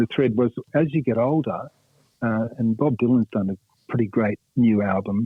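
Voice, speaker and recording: At a moderate pace, a man with an Australian accent speaks at a medium pitch with ordinary pitch variation. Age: 60s. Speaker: rock guitarist. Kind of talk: radio interview. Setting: phone call. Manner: halting, many fillers.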